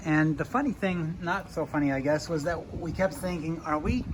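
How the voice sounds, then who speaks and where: A plain, everyday voice, moderate in pace, with ordinary pitch variation. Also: man. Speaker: sailing vlogger, father on a liveaboard boat. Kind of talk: casual vlog narration to camera.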